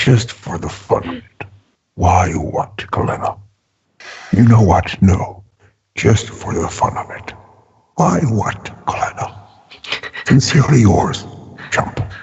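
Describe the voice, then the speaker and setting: The speaker uses a put-on character voice with lively intonation and big swings in loudness. The pace is fairly slow, with long, frequent pauses. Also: man, fairly low pitch for a man. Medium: actual play. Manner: brash, joking.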